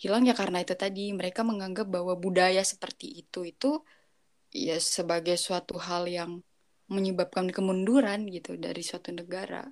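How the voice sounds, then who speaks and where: A woman talks at a fairly quick pace in a normal speaking voice, medium in pitch with fairly even intonation. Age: 20s. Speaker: university student. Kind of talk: casual chat.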